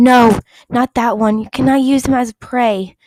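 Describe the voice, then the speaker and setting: A put-on character voice talks at a moderate pace. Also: woman, high pitch for a woman. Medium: read story. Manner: fierce.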